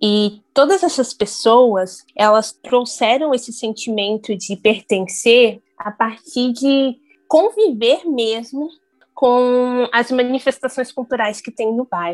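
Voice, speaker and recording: A woman talks in a high pitch. She goes very slowly. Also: ordinary pitch variation. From Brazil, São Paulo (Grajaú). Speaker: journalist, researcher. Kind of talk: interview.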